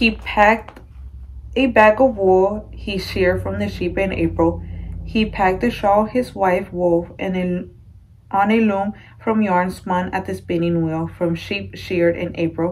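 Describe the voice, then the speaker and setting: Speaking at a fairly slow pace, a woman is heard over light background noise. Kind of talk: read-aloud storytelling. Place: home room. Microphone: phone near.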